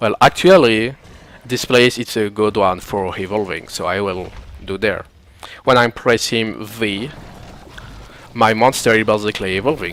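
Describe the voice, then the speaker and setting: Fairly low-pitched male speech in a non-native accent, moderate in pace, with ordinary pitch variation and long, frequent pauses. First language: not English. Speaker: gaming tutorial creator. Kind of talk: video game tutorial commentary.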